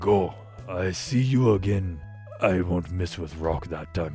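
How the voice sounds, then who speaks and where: Clear music plays behind a man using a put-on character voice. He speaks at a fairly slow pace. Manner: blunt, gruff, terse.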